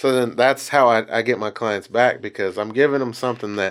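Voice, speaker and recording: A man talks at a moderate pace in a medium pitch, his intonation fairly even, on a very clean recording with a silent background. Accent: Texan. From Texas, Bryan. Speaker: barber. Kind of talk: casual chat.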